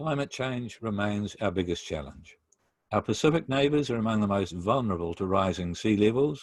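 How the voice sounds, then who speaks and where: With a New Zealand accent, a man speaks at a moderate pace in a fairly low pitch with lively intonation. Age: 60s. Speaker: pastor. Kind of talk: lecture. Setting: video call. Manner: formal.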